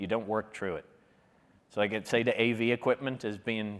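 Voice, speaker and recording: This man has an Irish accent. He talks at a fairly quick pace. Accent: Irish, noticeable. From Ireland. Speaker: public speaking workshop leader. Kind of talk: workshop talk. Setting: conference room with live audience. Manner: fast; animated.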